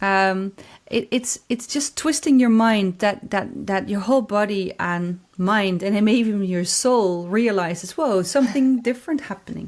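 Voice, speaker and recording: A woman with a Dutch accent talks at medium pitch and a fairly slow pace with hardly any pauses. The recording is very clean, with a silent background. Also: ordinary pitch variation. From Netherlands. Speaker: corporate anthropologist. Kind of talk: podcast interview. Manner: halting, many repetitions.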